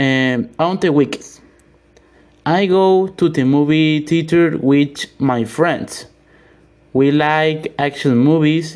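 A man with a Spanish accent talks at a very slow pace in a fairly high pitch. His loudness stays very even, with ordinary pitch variation. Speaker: English learner. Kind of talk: reading aloud. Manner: halting.

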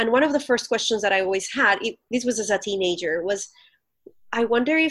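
With a Colombian accent, a woman speaks at a fairly quick pace and a fairly high pitch. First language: Spanish. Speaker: pastor. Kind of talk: interview conversation. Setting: remote recording from home.

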